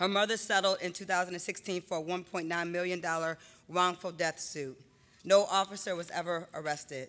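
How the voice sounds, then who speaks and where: A woman speaks with fairly low pitch and fairly even intonation. Her pace is moderate. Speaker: poet. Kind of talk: spoken word poetry performance. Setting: stage with audience. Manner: dramatic, impassioned. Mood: serious, somber. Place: hall. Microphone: podium.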